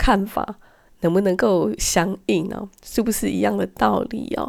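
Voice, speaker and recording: A woman's voice in a very clean recording against a silent background. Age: middle-aged. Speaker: podcast host. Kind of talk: solo podcast monologue.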